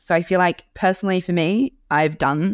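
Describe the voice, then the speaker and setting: On a very clean recording with a silent background, a woman speaks at a moderate pace with ordinary pitch variation in a New Zealand accent. The sound is dry and close, without echo. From New Zealand (Auckland). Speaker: food podcast host. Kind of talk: casual recommendations monologue.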